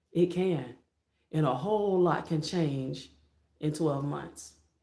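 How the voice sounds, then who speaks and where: Speaking with an American accent, a woman has a fairly low pitch and a dark, mellow tone. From Florida. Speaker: motivational YouTuber. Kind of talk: motivational livestream talk. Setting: live stream. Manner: less energetic than usual.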